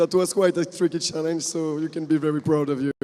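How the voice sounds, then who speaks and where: A man's high-pitched, monotone voice with flat intonation, over noticeable background noise. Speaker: event organizer announcing prizes. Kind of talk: award ceremony announcement.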